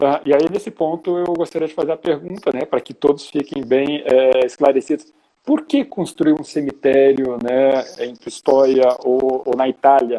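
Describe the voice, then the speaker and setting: With a dark, mellow tone, a man speaks at a moderate pace in a fairly high pitch that shows ordinary variation. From southern Brazil (Porto Alegre, Rio Grande do Sul). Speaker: psychologist and live show host. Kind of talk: interview. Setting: live stream.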